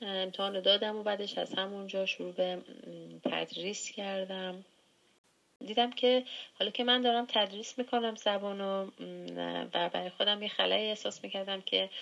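A woman with an ordinary speaking voice, medium pitch, fairly even intonation, and a moderate pace. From Iran, Gilan (Langarud). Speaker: former language student, hospital worker. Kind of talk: interview.

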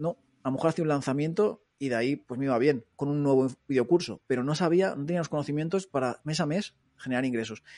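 A man with a fairly high pitch and a dark, mellow tone, very fast pace, ordinary pitch variation, dry, close sound with no echo and a quiet background. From Madrid, Spain (Móstoles). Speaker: online entrepreneur, former police officer. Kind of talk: interview. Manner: casual, filler-heavy.

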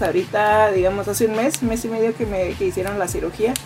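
A woman speaks at a very fast pace in a fairly high pitch. Music plays in the background. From Mexico, Tijuana. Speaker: podcast host, audiovisual producer. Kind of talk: casual chat.

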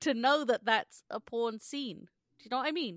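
Lively intonation in a British accent at a moderate pace, on a very clean recording with a silent background and a dry, close sound free of echo. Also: woman. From England, British Indian family. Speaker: podcast co-host. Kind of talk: casual chat.

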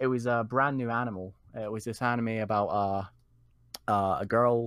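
A man speaks in a Scottish accent on a very clean recording with a silent background. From Scotland. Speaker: community member, guest. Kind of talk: casual interview chat. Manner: laid-back, chatty.

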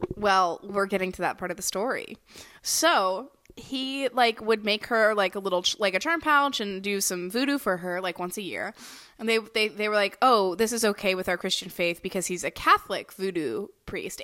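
In an American accent, a woman talks at a moderate pace, her tone bright and sharp. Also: medium pitch for a woman, ordinary pitch variation. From US South. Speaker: podcast co-host. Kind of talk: casual chat. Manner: halting, frequent fillers.

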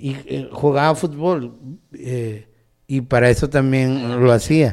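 The man's voice has a dark, mellow tone. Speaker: podcast co-host. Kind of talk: casual chat; reading aloud.

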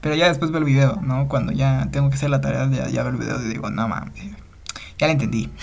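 Someone with a Mexican accent talks at a very fast pace over noticeable background noise. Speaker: podcast host, student. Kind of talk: casual monologue. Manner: halting, many fillers and repetitions.

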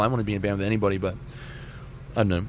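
Here a man is speaking. He has an Australian accent. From Australia, rural New South Wales. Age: 20s. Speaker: singer in a punk band. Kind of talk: casual interview. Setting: tour bus at a festival.

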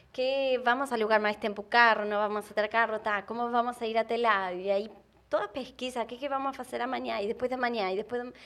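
With an Argentine accent, a woman speaks at a fairly quick pace, her fairly high pitch following fairly even intonation. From Argentina. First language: Spanish (speaking Portuguese). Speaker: travel content creator. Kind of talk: casual chat.

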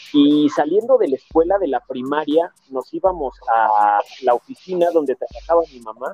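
A man speaks at a moderate pace with ordinary pitch variation while music plays behind him. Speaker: music fan guest. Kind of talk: casual chat.

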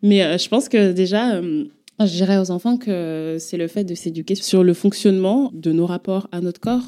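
An unremarkable speaking voice from a woman, medium in pitch with ordinary pitch variation, at a fairly slow pace. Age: 20s. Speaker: performance artist and author. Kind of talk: testimony.

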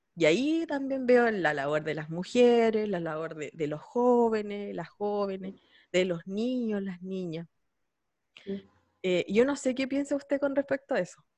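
A woman with a Chilean accent speaks at a fairly slow pace and medium pitch, her pitch swinging very widely. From San Javier, Chile. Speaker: podcast host. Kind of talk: casual interview.

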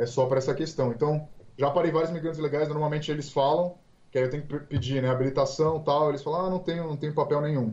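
Very fast delivery with fairly even intonation. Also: man, fairly high pitch for a man. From Brazil, Santos (São Paulo coast). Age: 20s. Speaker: police officer. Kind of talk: interview.

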